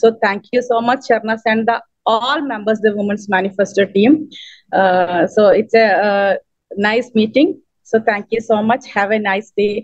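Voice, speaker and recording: A fairly slow woman's voice with a Keralan accent, fairly high in pitch, with fairly even intonation. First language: Malayalam. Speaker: poet and writer, award recipient. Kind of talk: acceptance speech. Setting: video call. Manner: halting.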